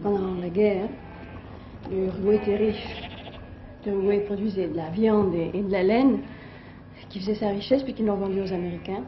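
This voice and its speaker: A woman speaks at a moderate pace with long, frequent pauses, her voice carrying audible room echo over noticeable background noise. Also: medium pitch for a woman. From France. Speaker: French emigrant living abroad. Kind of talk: interview. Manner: hesitant.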